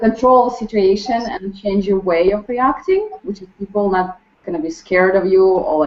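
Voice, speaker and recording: In a Ukrainian accent, a woman talks at a moderate pace with a medium pitch and ordinary pitch variation. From Ukraine. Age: 20s. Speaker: restaurant server. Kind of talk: group introduction. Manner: halting, many fillers.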